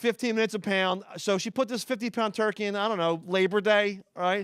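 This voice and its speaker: This man talks very fast in a Philadelphia accent. His pitch is high, with ordinary variation. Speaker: stand-up comedian. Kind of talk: stand-up. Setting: stage with audience.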